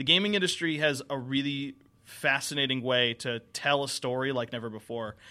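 A man with an American accent, a bright, sharp tone, medium pitch and ordinary pitch variation. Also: fairly quick pace. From Connecticut, US Northeast. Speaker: TV and film producer. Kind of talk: talk show interview. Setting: studio. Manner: halting.

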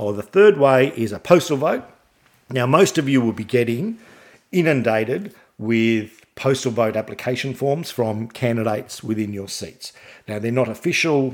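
Medium-pitched man with lively intonation at a moderate pace, on a very clean recording with a silent background. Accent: Australian. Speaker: podcast host. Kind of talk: solo podcast monologue about politics. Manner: informative, somewhat halting with fillers.

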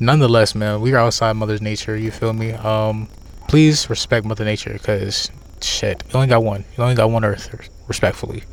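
Speaking fairly quickly, a man holds a medium pitch in a flat, monotone delivery. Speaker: podcast co-host. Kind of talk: casual chat. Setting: outdoors.

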